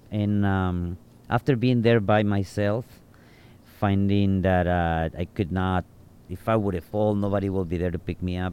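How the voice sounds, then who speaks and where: A man's dark, mellow, fairly low voice with a Mexican accent, fairly even intonation and a moderate pace. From Mexico, Nayarit. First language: Spanish. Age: 40s. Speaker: bartender and tour guide. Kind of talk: casual interview. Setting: outdoors on a rooftop.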